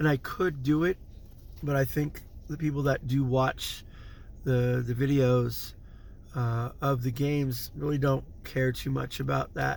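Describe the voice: With a slightly mellow tone and some vocal fry, a man talks at medium pitch and a fairly slow pace, his intonation fairly even.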